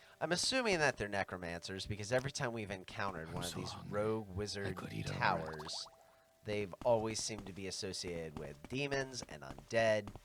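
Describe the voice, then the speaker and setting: Against noticeable background noise, a man with a fairly low pitch speaks at a fairly quick pace with lively intonation. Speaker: game streamer. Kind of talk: casual gameplay commentary.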